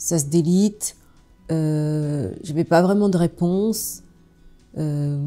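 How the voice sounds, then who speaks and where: Music plays behind a voice that moves at a very slow pace. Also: woman. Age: 60s. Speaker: fasting retreat participant. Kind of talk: testimony. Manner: halting, many hesitations.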